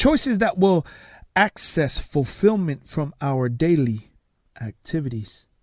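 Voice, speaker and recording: With a Tongan accent, a man speaks fairly slowly at a fairly high pitch with very wide pitch swings, in a very clean recording with a silent background. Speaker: success coach and motivational speaker. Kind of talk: motivational talk.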